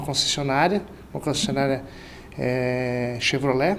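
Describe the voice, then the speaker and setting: Moderately paced male speech against noticeable background noise and audible room echo. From Central-West Brazil, Mato Grosso. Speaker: sales director. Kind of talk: interview.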